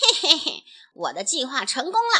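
A woman does a put-on character voice, high-pitched, bright and sharp, with cackling. Her pitch swings very widely at a moderate pace.

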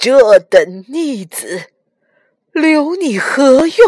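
A woman does a put-on character voice in a high pitch with a slightly mellow tone. She moves at a very slow pace with big pitch swings.

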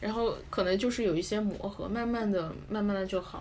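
Speaking at a moderate pace, a woman uses a medium pitch with ordinary pitch variation in a plain, everyday voice. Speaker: podcast host. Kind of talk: casual chat.

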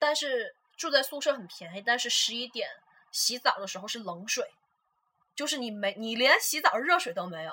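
A woman with a high-pitched, bright, sharp tone speaks at a moderate pace, her pitch swinging very widely and her loudness shifting in big swings. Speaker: podcast co-host, international student. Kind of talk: casual chat.

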